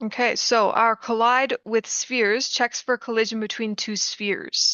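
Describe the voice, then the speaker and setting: A woman speaks with fairly even intonation in a fairly high voice. It is an unremarkable speaking voice. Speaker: student. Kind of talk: tutorial.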